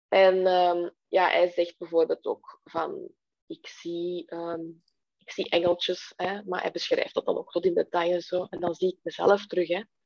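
A woman talks at a fairly slow pace with big swings in loudness, in a dry, close sound with no echo. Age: 30s. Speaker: webshop owner. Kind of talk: interview conversation. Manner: slow, halting.

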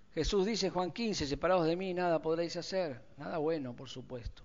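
A man with an Argentine accent speaks at a moderate pace in a high-pitched voice. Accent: Rioplatense Argentine Spanish. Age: 60s. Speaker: pastor. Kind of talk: sermon.

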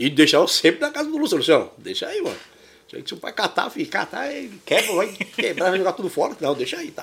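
This man talks at a very fast pace and a high pitch, with very wide pitch swings. Noticeable background noise runs underneath. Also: big swings in loudness. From São Paulo, Brazil (moved from Minas Gerais at seven). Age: 50s. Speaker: kite maker and shop owner. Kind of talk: casual chat. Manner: animated.

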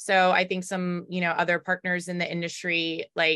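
The recording is very clean with a silent background, capturing a woman with a medium-pitched voice and a bright, sharp tone. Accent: Baltimore. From US South, Raleigh, North Carolina. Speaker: title company business owner. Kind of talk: interview.

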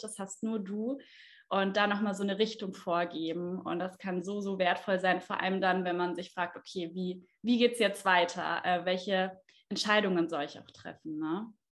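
An ordinary speaking voice from a woman, medium in pitch, at a moderate pace with fairly even intonation. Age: 20s. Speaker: astrologer and trained speech therapist. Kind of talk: interview.

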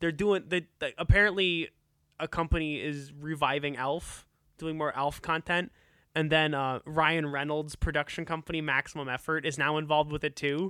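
The intonation stays fairly even as this normal speaking voice keeps a moderate pace. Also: man, fairly high pitch for a man. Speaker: podcast host. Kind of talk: casual chat.

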